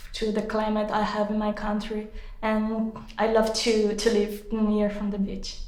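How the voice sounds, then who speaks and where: In a Portuguese accent, a woman with a fairly high pitch talks at a very slow pace, with audible room echo around her. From Brazil. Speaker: exam candidate. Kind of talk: speaking exam. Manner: halting.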